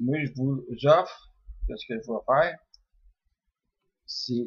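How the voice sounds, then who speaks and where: A man's fairly high, somewhat breathy voice, relaxed in tone, with ordinary pitch variation and a very slow pace. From Quebec. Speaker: dream interpreter. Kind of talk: religious text commentary. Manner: hesitant, many fillers; relaxed, unhurried.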